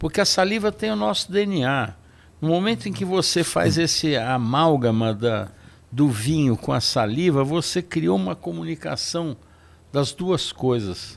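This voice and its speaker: Fairly high-pitched male voice with very wide pitch swings, at a fairly slow pace. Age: 70s. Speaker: wine expert; guest. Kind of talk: casual chat. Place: studio. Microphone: studio mic.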